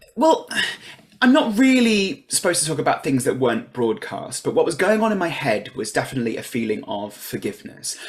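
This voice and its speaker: Over noticeable background noise, a man with a high pitch speaks at a fairly quick pace with very wide pitch swings. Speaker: reality game show contestant and writer. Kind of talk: interview. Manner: fast.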